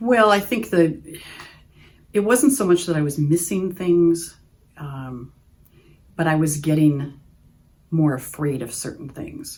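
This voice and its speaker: With an Upper Midwest accent, a woman speaks at a very slow pace and fairly low pitch, her intonation lively, her loudness swinging widely, and her pauses long and frequent. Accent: Upper Midwest American. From Oshkosh, Wisconsin. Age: 60s. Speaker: patient giving testimonial. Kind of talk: testimony. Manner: hesitant, with frequent fillers.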